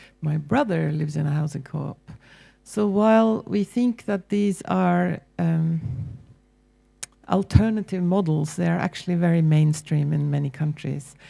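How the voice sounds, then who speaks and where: In a Norwegian accent, a woman talks at a moderate pace with lively intonation. Her pitch is very deep and low. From Norway. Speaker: university lecturer. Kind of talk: panel presentation. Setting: public forum with audience.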